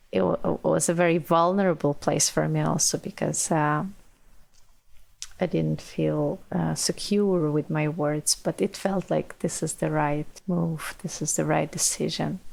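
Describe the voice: A woman speaks low, with vocal fry and a slightly mellow tone. Her pace is fairly slow and her intonation fairly even.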